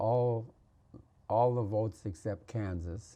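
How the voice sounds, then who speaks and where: A man with an American accent speaks at a fairly slow pace and fairly low pitch. His tone is dark, mellow and somewhat breathy, with fairly even intonation. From Minnesota. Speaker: farmer. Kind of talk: interview answer.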